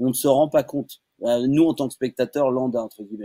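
In a dry, close sound with no echo, a man speaks with a dark, mellow tone. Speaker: voice actor. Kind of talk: casual chat. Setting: video call. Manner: animated.

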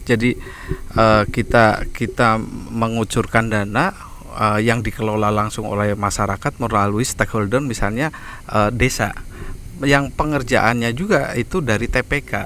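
A man at medium pitch and a fairly slow pace with ordinary pitch variation, in a dry sound with no echo and light background noise. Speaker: CSR community development staff. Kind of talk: casual outdoor podcast interview. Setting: outdoors at demonstration farm. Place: garden. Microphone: handheld.

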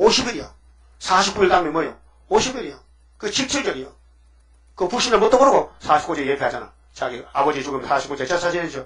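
A man speaks in a high voice with very wide pitch swings at a moderate pace. Long, frequent pauses break up his speech against a quiet background. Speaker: pastor. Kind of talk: sermon. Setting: church. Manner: animated. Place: church. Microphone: podium.

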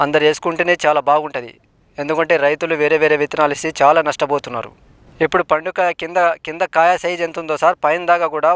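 An unremarkable speaking voice with fairly even intonation comes through a dry, close sound with no echo. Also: man. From Telangana, Bhadradri Kothagudem district. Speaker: farmer. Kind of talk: testimonial interview.

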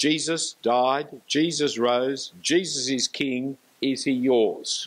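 Very slowly, a man speaks in an Australian accent. His intonation stays fairly even. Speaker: preacher. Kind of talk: lecture. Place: church. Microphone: handheld.

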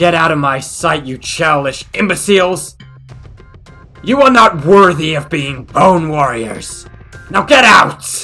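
In a cartoonish character voice at a middle pitch, the speaker talks at a fairly slow pace over faint music in the background. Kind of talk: cartoon villain acting. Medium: audio drama. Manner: furious, shouting, imperious.

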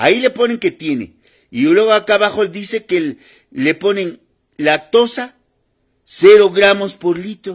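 A man with a high-pitched voice speaks with lively intonation, leaving long, frequent pauses. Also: quiet background. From Mexico, Puebla. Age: 50s. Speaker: naturopathic doctor; naturopathic health vlogger. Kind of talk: live stream monologue. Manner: repetitive, informal.

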